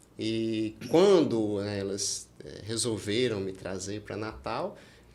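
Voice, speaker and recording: A man speaks at a very slow pace with fairly low pitch and ordinary pitch variation, in a strong Minas Gerais accent. His loudness swings widely, and room echo is audible. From Brazil, Minas Gerais (rural). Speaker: oral and maxillofacial surgeon. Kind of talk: podcast interview.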